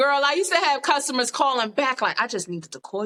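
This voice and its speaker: A woman speaks with a New York accent at a fairly quick pace, her high voice raised and projected with a bright, sharp tone. Her pitch swings very widely, and the sound is dry and close with no echo. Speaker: yoga instructor and podcast guest. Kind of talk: casual chat. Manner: talkative, animated.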